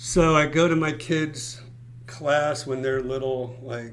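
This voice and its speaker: Amid audible room echo and noticeable background noise, a man with an American accent speaks at a fairly slow pace with fairly even intonation. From South Florida, Fort Lauderdale. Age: 60s. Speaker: real estate broker. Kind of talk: live stream Q&A chat. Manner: casual, filler-heavy.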